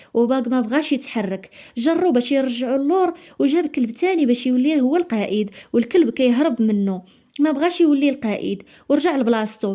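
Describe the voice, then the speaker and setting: A woman's high voice with a Moroccan accent, dark and mellow in tone, with lively intonation. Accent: Moroccan Darija. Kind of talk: movie summary narration.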